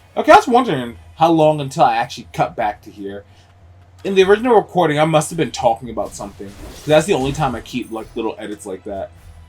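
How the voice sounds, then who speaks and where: Over music in the background, a man with a fairly high pitch rushes at a very fast pace, with very wide pitch swings and big swings in loudness. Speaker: gaming YouTuber. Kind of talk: gameplay commentary. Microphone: recorded as post commentary after mic issues.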